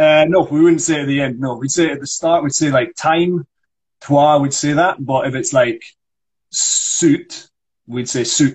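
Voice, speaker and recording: Speaking fairly slowly with a Scottish accent, a man uses a fairly high, somewhat breathy voice and fairly even intonation. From Scotland. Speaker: actor and accent coach. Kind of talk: accent tutorial on a livestream. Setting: Instagram Live video call.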